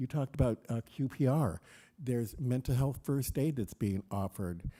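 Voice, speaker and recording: A man with an American accent talks at a fairly quick pace in a dark, mellow tone at medium pitch, with lively intonation, on a very clean recording with a silent background. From US Midwest, southern Illinois. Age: 60s. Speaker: panelist, suicide prevention trainer. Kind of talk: panel discussion.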